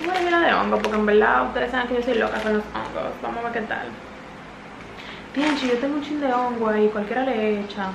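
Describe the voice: A woman with a fairly high pitch, vocal fry and ordinary pitch variation at a fairly quick pace, with audible room echo.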